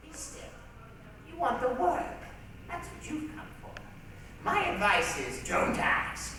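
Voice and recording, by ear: A woman in a put-on character voice speaks slowly at a high pitch, with a bright, sharp tone, very wide pitch swings and audible room echo.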